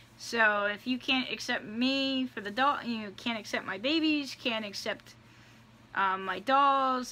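Her bright, sharp tone marks this woman's speech, which has ordinary pitch variation. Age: 30s. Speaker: YouTube vlogger. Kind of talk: casual vlog monologue. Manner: hesitant, many fillers. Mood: earnest, somewhat defensive. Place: home room. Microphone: phone near.

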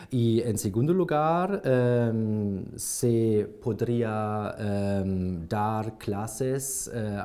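With a German accent, a man speaks at a fairly low pitch in a dark, mellow tone with ordinary pitch variation. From Germany, Hamburg; Germany. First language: German (speaking Spanish). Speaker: language exam candidate; candidate. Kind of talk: oral language exam. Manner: halting, many fillers. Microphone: lapel.

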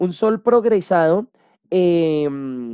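A man is heard in a dry sound with no echo against a quiet background. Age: 30s. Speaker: holistic coach and astrology presenter; holistic coach, presenter. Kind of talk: lecture. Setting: video call webinar. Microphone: video call.

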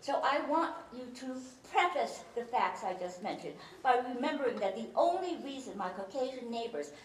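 In a room with audible echo and light background noise, a woman with a Chinese accent speaks at a moderate pace in a high pitch with very wide pitch swings. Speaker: speaker, former philosophy teacher. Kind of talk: humorous talk to a live audience. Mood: humorous, warm. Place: hall.

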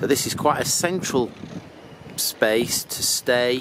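A man at a fairly slow pace with ordinary pitch variation, over loud background noise. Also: dry sound with no echo. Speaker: motorhome traveller vlogger. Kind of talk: casual vlog chat. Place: street. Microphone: phone near.

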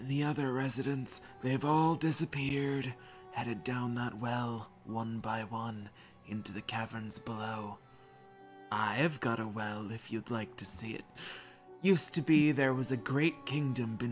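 A man's put-on character voice at a medium pitch and moderate pace, with clear music in the background. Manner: welcoming, storytelling.

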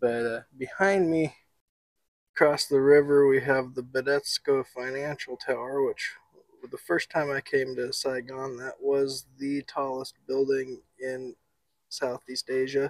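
A man talks at a fairly slow pace with fairly even intonation. The sound is dry with no echo, and the background is quiet. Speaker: travel food vlogger. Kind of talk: casual vlog chat. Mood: cheerful, relaxed. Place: open country. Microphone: lapel.

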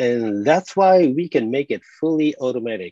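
A man with a Japanese accent, dark, mellow tone and lively intonation, in a dry sound with no echo and a quiet background. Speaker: conference presenter and developer trainer. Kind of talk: technical presentation with live demo. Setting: video call. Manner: self-deprecating, laughs often. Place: home room.

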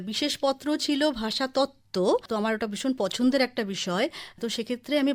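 Over a silent background in a very clean recording, a woman talks at a high pitch with ordinary pitch variation. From West Bengal, Kalyani (Nadia). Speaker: writer and scholar. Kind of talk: radio interview.

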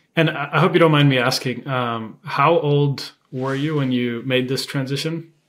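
A man with a normal speaking voice talks at a moderate pace and a fairly high pitch, with fairly even intonation and hardly any pauses. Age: 20s. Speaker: podcast host. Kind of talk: podcast interview. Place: home room.

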